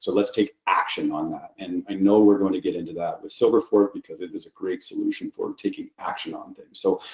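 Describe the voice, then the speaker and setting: Talking at a fairly quick pace, a man speaks with hardly any pauses. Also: big swings in loudness. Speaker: IT security practitioner. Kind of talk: webinar presentation. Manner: fast.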